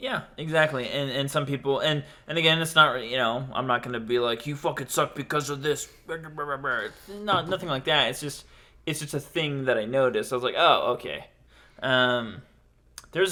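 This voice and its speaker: At a moderate pace and a fairly high pitch, a man talks in an unremarkable speaking voice with ordinary pitch variation. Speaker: podcast host and aspiring stand-up comedian. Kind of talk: casual chat.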